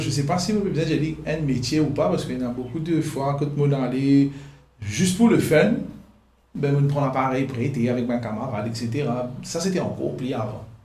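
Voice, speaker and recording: Audible room echo surrounds a man talking at a moderate pace, fairly high in pitch, with ordinary pitch variation. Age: 30s. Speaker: photographer and videographer. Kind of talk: interview. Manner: halting.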